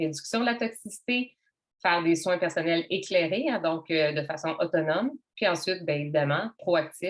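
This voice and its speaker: A woman at medium pitch and a moderate pace. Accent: Quebec. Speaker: wellness workshop host. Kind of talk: online workshop presentation. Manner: casual, conversational.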